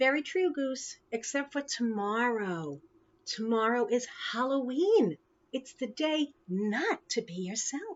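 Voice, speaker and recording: A woman uses a put-on character voice pitched high. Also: fairly slow pace. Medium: read story. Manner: cheerful.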